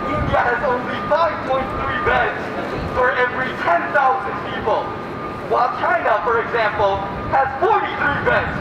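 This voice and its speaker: The voice moves at a fairly slow pace, with audible room echo and loud background noise. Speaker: rally speaker, activist. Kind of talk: rally speech. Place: street. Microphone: camera far.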